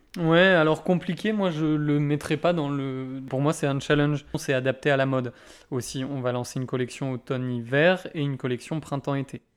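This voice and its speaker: This man has an unremarkable speaking voice, fairly high in pitch, moving at a moderate pace with fairly even intonation. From Brittany, France. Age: 20s. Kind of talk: interview conversation.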